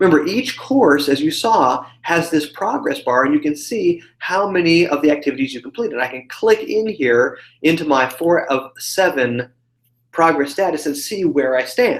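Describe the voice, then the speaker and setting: In a normal speaking voice, the speaker uses lively intonation at a moderate pace. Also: man, fairly high pitch for a man. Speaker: online course dean giving webinar tour. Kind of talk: live webinar walkthrough. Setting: live video hangout.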